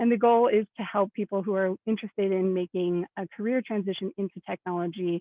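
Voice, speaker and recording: A woman's medium-pitched, ordinary speaking voice with an American accent, fairly even intonation, a fairly quick pace and hardly any pauses. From US Midwest (Indianapolis, Indiana). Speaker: product manager in tech education. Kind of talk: panel presentation.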